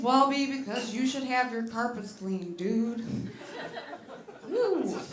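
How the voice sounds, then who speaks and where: Over noticeable background noise and audible room echo, a woman speaks at a fairly slow pace in a high pitch. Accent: American. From US Midwest, Detroit, Michigan. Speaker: stand-up comedian. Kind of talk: stand-up. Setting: stage with audience.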